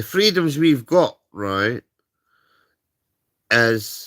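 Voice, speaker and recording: A man with a Scottish accent and a bright, sharp tone, on a very clean recording with a silent background. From Scotland. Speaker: livestreamer. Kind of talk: casual rant. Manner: animated.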